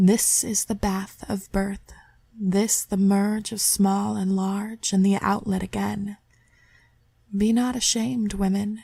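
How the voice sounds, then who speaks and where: A woman speaks very slowly in a dark, mellow, somewhat breathy voice at a medium pitch, her intonation flat and monotone, on a very clean recording with a silent background. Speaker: amateur reader. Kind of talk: poetry reading.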